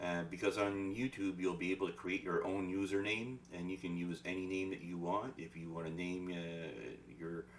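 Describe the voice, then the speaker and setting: With a Quebec accent, a man speaks at a moderate pace in a very deep, low pitch, with ordinary pitch variation. He leaves hardly any pauses. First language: French. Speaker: spiritual life coach. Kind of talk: casual announcement monologue. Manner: halting.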